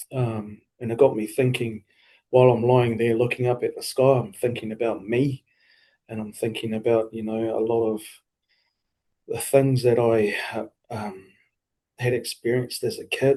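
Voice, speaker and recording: Speaking at a moderate pace with a New Zealand accent, a man uses a medium pitch, a dark, mellow tone, fairly even intonation and long, frequent pauses. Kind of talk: interview answer. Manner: hesitant, reflective.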